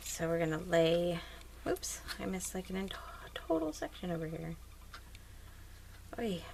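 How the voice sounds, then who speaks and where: Soft-spoken and leaving long, frequent pauses, a woman talks at a moderate pace against noticeable background noise. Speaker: crafting YouTuber. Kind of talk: tutorial. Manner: casual, hesitant with fillers.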